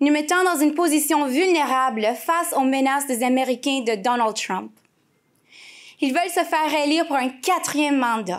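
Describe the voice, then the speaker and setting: A woman's high-pitched voice with ordinary pitch variation, very even loudness, and a moderate pace, on a very clean recording with a silent background. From Quebec, east Montreal. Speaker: politician's spouse speaking at rally. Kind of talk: political rally speech. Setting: stage with audience. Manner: formal.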